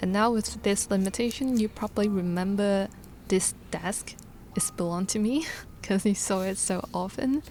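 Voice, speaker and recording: A woman speaks with a Hong Kong accent. Her pitch sits in the medium range. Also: ordinary pitch variation, moderate pace. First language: Cantonese. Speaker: illustrator vlogger. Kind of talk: vlog narration. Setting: home studio desk. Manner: clear, careful.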